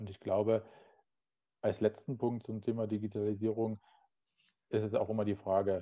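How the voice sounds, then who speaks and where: In a flat monotone and at a fairly quick pace, a man speaks with a fairly low pitch. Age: 30s. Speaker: facility management sales professional. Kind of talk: interview conversation.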